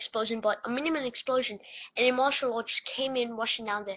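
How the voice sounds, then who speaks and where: Squeaky and high-pitched, a woman talks at a fairly quick pace with ordinary pitch variation. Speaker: conspiracy theory vlogger. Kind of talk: casual webcam monologue. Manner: halting, many fillers.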